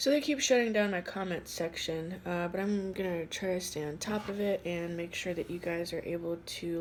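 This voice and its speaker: A woman has an ordinary speaking voice with a fairly low pitch and ordinary pitch variation. She keeps a moderate pace with hardly any pauses. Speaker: tarot card reader. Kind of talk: tarot reading. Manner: casual, with many fillers.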